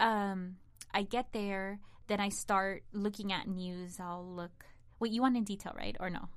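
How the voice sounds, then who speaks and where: Flat, monotone speech in a Spanish accent at a fairly slow pace. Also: woman, medium pitch for a woman. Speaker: digital content producer and entertainment journalist. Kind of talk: casual interview chat.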